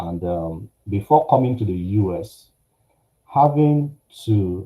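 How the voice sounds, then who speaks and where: A man speaks in a somewhat breathy voice. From Nigeria. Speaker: finance company executive. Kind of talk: personal testimony talk. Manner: halting, many fillers.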